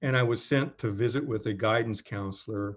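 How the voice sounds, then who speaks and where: A man speaks at a moderate pace with an American accent against a quiet background. His is an unremarkable speaking voice, with fairly even intonation. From Kentucky / southern Indiana. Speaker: professor. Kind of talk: interview. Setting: video call.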